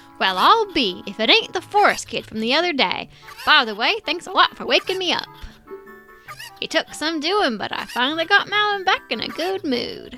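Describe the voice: Over clear music in the background, a put-on character voice at an extremely high pitch swings very widely in pitch at a moderate pace.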